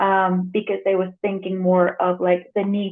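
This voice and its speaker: Speaking in a Spanish accent, the woman's voice falls at a medium pitch. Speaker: editor and translator. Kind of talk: conference presentation. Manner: hesitant, many fillers.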